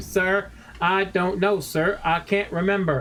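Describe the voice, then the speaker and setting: A man's put-on, robotic character voice, high-pitched and fairly slow, over clear background noise. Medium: game stream. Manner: slow, mechanical, formal with sir.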